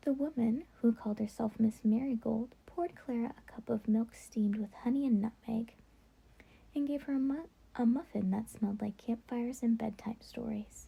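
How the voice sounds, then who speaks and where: A soft-spoken woman's voice, fairly high in pitch, with ordinary pitch variation and a moderate pace. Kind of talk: bedtime story reading.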